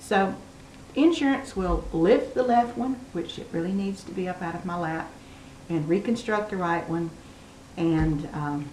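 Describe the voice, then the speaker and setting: Amid noticeable background noise and audible room echo, a woman speaks at a fairly slow pace with lively intonation. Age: 60s. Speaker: video blogger with cancer. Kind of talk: casual personal vlog. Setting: home dining room, on camera.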